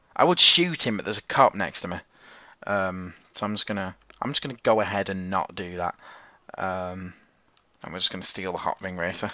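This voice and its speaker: A man speaks at a fairly quick pace with a very deep, low pitch and fairly even intonation. His loudness swings widely, and he leaves long, frequent pauses. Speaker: gaming YouTuber. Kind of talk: gameplay commentary. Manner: halting, stuttering; casual.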